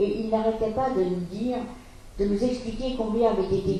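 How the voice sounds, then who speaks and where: Over noticeable background noise and audible room echo, a woman speaks in a fairly high voice. Her pace is moderate. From France, Paris. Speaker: Holocaust survivor. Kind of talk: testimony. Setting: school talk to students.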